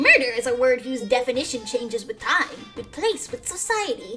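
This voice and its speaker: Against clear music in the background, a woman puts on a character voice at a high pitch and a moderate pace. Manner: sinister, mocking, theatrical.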